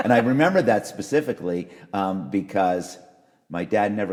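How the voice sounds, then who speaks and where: A man with a Canadian accent and a very deep, low pitch talks at a moderate pace with lively intonation. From western Canada (Calgary). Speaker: radio and music industry expert. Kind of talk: casual interview, personal story.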